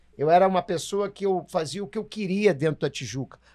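Against a quiet background, a man speaks in a high pitch with a dark, mellow tone. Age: old. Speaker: samba composer, podcast co-host; podcast co-host. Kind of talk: casual chat. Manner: halting. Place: studio. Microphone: studio mic.

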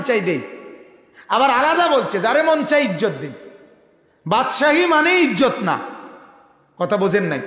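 A man speaks with an extremely high pitch and very wide pitch swings. There is audible room echo. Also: quiet background. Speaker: Islamic preacher. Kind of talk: sermon. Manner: fiery, impassioned. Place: stage. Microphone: podium.

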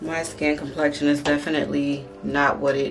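A woman's very deep, low voice at a fairly slow pace, with faint music in the background. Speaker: beauty vlogger. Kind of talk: casual vlog chat. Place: bathroom. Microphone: phone near.

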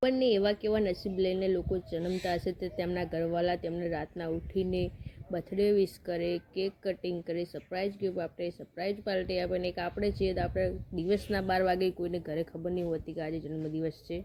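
Her intonation is flat and monotone. The woman's pitch sits fairly low. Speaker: family vlogger. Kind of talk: casual vlog talking to camera.

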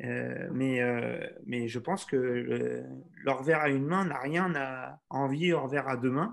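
A man's very slow speech with ordinary pitch variation. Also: medium pitch for a man. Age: 40s. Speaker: tennis instructor. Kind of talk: webinar Q&A. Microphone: video call.

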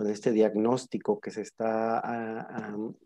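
A man with a dark, mellow tone speaks at a fairly low pitch.

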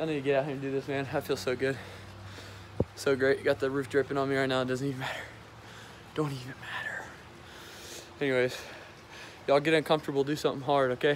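Very fast, monotone male speech with a dry, echo-free sound and light background noise. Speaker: vlogger. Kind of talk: casual vlog chat.

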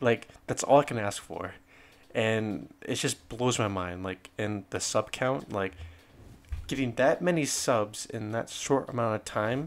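The speaker is a man with a medium pitch and ordinary pitch variation. He speaks fairly slowly. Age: 20s. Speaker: gaming youtuber. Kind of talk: casual vlog address to viewers. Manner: hesitant, filler-heavy.

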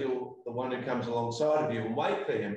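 With an Australian accent, a man speaks at a moderate pace with ordinary pitch variation. Strong room echo surrounds his voice. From South Australia. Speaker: pastor. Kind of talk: interview. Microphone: video call.

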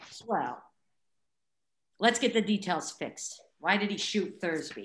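Putting on a character voice, a woman talks slowly in a fairly low pitch with big pitch swings and a fairly bright tone.

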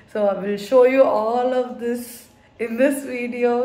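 Very slowly, a woman speaks in a high pitch with ordinary variation, and there is audible room echo. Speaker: vlogger. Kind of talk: casual vlog chat. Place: home room. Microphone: phone near.

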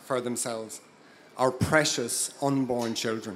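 A man with an Irish accent speaks at a fairly slow pace. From Ireland (Dublin area). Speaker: local councillor. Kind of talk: impassioned pro-life rally speech from notes. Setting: outdoor rally stage before a crowd. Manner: earnest, slightly halting with 'um' and 'uh' fillers; rousing call-to-action, emphatic repetition. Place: stage. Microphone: handheld.

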